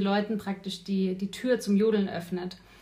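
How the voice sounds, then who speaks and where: Her voice sits at a medium pitch for a woman, with fairly even intonation. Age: 30s. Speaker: life coach. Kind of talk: casual chat. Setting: kitchen.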